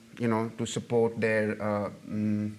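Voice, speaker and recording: A man at medium pitch with a Punjabi accent, fairly slow in pace, with audible room echo. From Pakistan, Punjab. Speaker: novelist and journalist. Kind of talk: audience Q&A after a lecture. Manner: halting, many fillers and repetitions.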